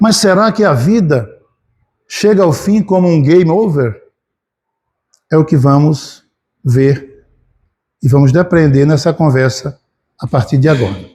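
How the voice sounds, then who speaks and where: The speaker talks at a fairly slow pace with lively intonation, long and frequent pauses, a somewhat breathy quality and a dark, mellow tone. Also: man, fairly high pitch for a man. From Brazil, Alagoas backlands (Piranhas). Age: 60s. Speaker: spiritist lecturer. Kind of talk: lecture.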